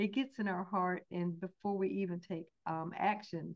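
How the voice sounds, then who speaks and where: The voice carries a Southern US accent. Its tone is warm and enthusiastic. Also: woman. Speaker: host introducing a guest. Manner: warm, enthusiastic.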